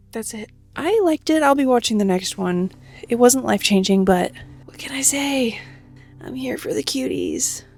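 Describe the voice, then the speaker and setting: Over music in the background, a woman talks at a moderate pace with big swings in loudness. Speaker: travel vlogger. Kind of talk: casual vlog narration. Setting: outdoors on a lake.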